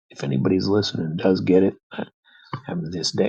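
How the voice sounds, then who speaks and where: Talking at a moderate pace, a man with an American accent has a fairly low pitch. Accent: American accent noticed by a Russian. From United States. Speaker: radio host. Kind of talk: casual monologue, storytelling. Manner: conversational with many fillers and hesitations.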